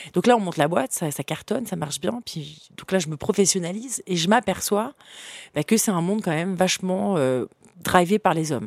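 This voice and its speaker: A woman of medium pitch speaks in an animated tone with lively intonation at a moderate pace, in a dry, close sound with no echo on a very clean recording with a silent background. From France, Paris suburbs, partly Africa. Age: young. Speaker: entrepreneur. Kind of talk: interview.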